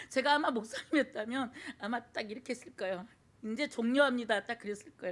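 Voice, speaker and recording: Talking fairly quickly, a woman uses a high voice with ordinary pitch variation. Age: 60s. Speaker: church deaconess giving testimony. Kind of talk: testimony. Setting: church service. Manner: halting with many fillers.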